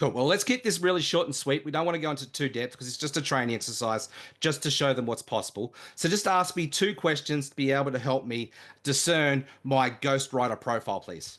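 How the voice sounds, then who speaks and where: With a strong Australian accent, a man speaks at a fairly quick pace in an enthusiastic, energetic tone, his fairly high pitch showing ordinary variation over a quiet background. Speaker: online marketing trainer. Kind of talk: live training webinar. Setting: live video call with screen share.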